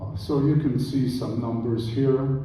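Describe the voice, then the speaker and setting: The pace is very slow. There is audible room echo and noticeable background noise. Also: man. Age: 80s+. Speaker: Holocaust survivor speaker. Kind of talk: lecture presentation with slides. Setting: church presentation with audience.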